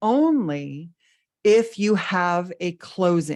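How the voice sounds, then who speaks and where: Over a quiet background, a woman talks in an animated tone. Her intonation is lively. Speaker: business coach. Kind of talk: webinar lecture. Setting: online webinar.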